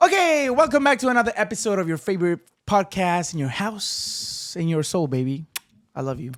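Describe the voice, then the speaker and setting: A man's animated, high-pitched voice at a fairly quick pace, with very wide pitch swings. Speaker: podcast host. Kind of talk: casual podcast intro.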